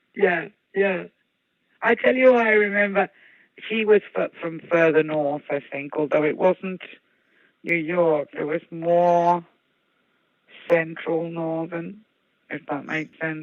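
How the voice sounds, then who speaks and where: Spoken at a very slow pace in a Brummie accent, the words are broken up by long, frequent pauses. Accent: Brummie Midlands. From English Midlands (Birmingham). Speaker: guest. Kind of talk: casual chat.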